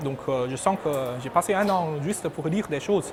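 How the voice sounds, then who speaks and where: With a Chinese accent, a man speaks at a moderate pace and a high pitch with ordinary pitch variation over noticeable background noise. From China. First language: Chinese (speaking French). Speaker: PhD graduate, engineering researcher. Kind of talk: interview answers. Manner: hesitant, repetitive.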